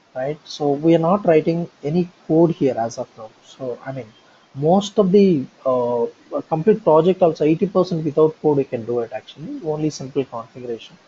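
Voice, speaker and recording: A man with a fairly high pitch speaks at a moderate pace, his intonation lively and his loudness swinging widely. Noticeable background noise runs behind him. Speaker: software trainer. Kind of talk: online training session.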